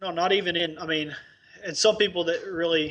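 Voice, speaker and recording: Speaking very fast with an Arkansas accent, a man uses a high pitch, a bright, sharp tone and fairly even intonation. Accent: Southern US (Arkansas). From Northeast Arkansas, US South. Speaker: dentist, practice owner. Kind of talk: interview.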